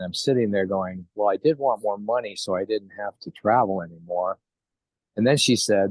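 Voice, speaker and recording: An American accent marks this man's unremarkable speaking voice, which is fairly low in pitch with ordinary variation. He talks at a moderate pace, and the sound is dry and close with no echo. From New York. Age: 60s. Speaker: network marketing distributor. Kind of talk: interview.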